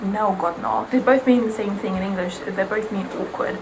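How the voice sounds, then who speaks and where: A woman speaks at a moderate pace with a medium pitch and monotone, flat intonation. Noticeable background noise and audible room echo fill the recording. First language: Serbian. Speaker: beauty vlogger. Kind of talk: casual chat.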